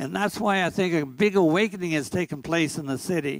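At a moderate pace over a quiet background, the speaker uses ordinary pitch variation. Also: man. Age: 90s. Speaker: priest. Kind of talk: testimony. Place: church. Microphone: handheld.

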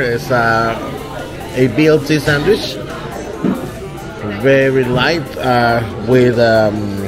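A man's voice over clear music in the background. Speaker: travel vlogger. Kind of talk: casual vlog chat. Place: cafe. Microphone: phone near.

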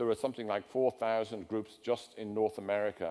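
On a very clean recording with a silent background, a man with an English accent speaks at a medium pitch. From England. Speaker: design theorist. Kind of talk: lecture. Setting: stage with audience.

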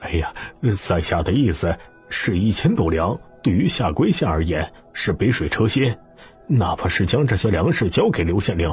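Putting on a character voice, a man speaks at a low pitch with a husky, rough edge, big pitch swings, and a moderate pace, faint music playing in the background.

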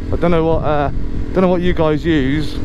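Noticeable background noise sits under speech at a moderate pace, in a dry sound with no echo. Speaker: motorbike commuter vlogger. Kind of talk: casual vlog chat. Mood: relaxed, chatty. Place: motorbike. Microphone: helmet.

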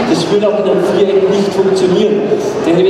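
Loud background noise runs throughout. The room echo is clearly audible too. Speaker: horse trainer presenting. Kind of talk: live demonstration commentary. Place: hall.

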